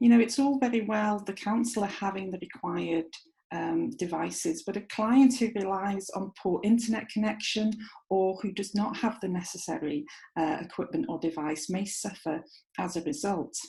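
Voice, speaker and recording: A woman's somewhat breathy voice in a North Welsh accent, dark and mellow in tone, at medium pitch and moderate pace with lively intonation. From North Wales. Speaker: clinical psychologist and university lecturer. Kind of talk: recorded lecture presentation.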